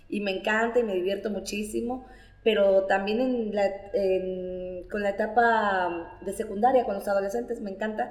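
A woman's voice at a moderate pace, with ordinary pitch variation and audible room echo. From Nayarit, Mexico. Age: 30s. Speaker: storyteller. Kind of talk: interview.

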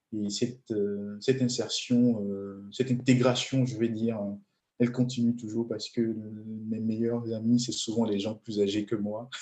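A man speaks at a medium pitch with a dark, mellow tone. His intonation is monotone and flat, and his pace is fairly slow. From Benin. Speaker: transport engineer and entrepreneur. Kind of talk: interview. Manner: hesitant, many fillers.

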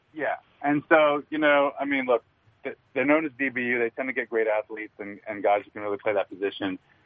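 In a plain, everyday voice, a man talks at a fairly quick pace and a medium pitch with ordinary pitch variation. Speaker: sports reporter. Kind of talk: interview.

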